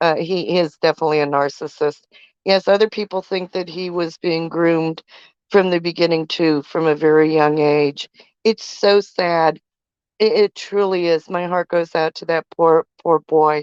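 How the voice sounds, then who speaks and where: A woman with a normal speaking voice talks at a moderate pace, fairly low in pitch with fairly even intonation. The sound is dry and close with no echo, over a quiet background. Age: 60s. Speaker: live stream co-host. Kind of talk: casual live stream chat.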